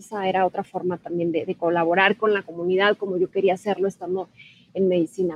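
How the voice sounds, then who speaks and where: A woman is speaking. Her pace is fairly quick. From Mexico, Ciudad Juárez, Chihuahua. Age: 30s. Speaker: TV news journalist. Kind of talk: interview.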